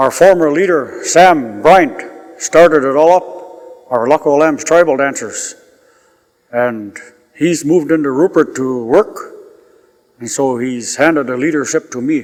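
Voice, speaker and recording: With music in the background, a man of fairly high pitch speaks at a very slow pace, using ordinary pitch variation and long, frequent pauses. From northern British Columbia coast, Canada (First Nations village). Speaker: community drum and dance group leader. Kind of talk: oral history interview.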